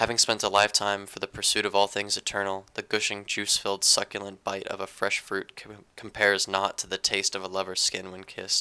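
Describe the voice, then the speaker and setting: Fairly low in pitch yet bright and sharp in tone, a man speaks at a fairly quick pace with hardly any pauses in a monotone, flat intonation. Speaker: amateur poet. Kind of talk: poetry reading. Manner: halting.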